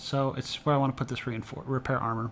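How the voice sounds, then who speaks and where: Pitched fairly high, a man talks. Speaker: gaming video creator. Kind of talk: gameplay commentary. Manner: fast.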